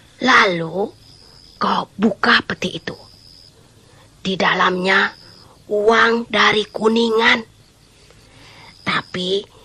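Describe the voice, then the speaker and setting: A put-on character voice, female-sounding, at medium pitch and a very slow pace. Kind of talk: folk tale drama. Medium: audio drama. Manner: coaxing, reassuring.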